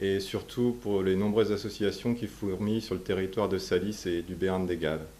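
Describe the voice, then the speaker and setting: A man's very deep, low voice, dark and mellow in tone, with fairly even intonation and hardly any pauses. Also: moderate pace. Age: 30s. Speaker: baker, local election candidate. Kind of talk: self-introduction.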